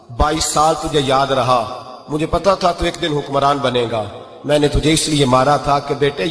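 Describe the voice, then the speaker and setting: The speech has ordinary pitch variation, with noticeable background noise throughout. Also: man. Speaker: Islamic preacher. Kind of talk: religious sermon (bayan) telling a moral story.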